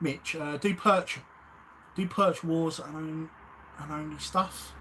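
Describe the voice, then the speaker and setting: A man's fairly high voice at a very slow pace, fairly even in intonation but with big swings in loudness, over noticeable background noise. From South East London (Lewisham). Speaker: YouTube angling channel host, float maker. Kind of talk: live stream chat. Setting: live stream. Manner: casual, hesitant with fillers.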